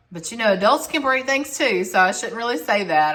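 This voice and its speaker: A woman speaks in an American accent with a bright, sharp tone. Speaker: home decor vlogger. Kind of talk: casual home tour narration.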